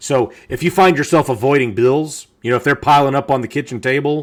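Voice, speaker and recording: Captured in a very clean recording with a silent background, a man speaks at medium pitch and a fairly quick pace with ordinary pitch variation. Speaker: podcast co-host, dad. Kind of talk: casual chat. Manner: loud; halting, many repeated words.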